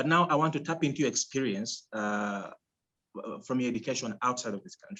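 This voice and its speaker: A man with a non-native accent talks at a moderate pace and medium pitch. His intonation is lively. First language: not English. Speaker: podcast host. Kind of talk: interview. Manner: halting.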